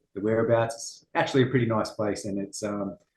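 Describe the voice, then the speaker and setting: A man speaks with a strong Australian accent. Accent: Australian, very noticeable. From Australia, Western Sydney. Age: 40s. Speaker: martial arts instructor. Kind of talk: interview. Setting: at a gym, remote interview.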